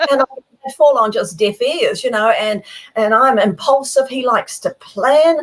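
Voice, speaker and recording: A high-pitched woman with a New Zealand accent, lively intonation and a fairly slow pace. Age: 70s. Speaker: professional speaker and author. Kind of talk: interview. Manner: animated.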